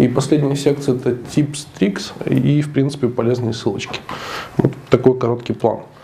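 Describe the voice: At a fairly quick pace, a man's nasal, dark and mellow voice with vocal fry holds fairly even intonation over faint background noise.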